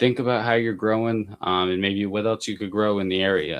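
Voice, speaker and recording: This man has a plain, everyday voice, fairly low in pitch, and talks at a moderate pace. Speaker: mushroom grower and educator. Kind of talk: live stream tutorial. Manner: filler-heavy, many ums.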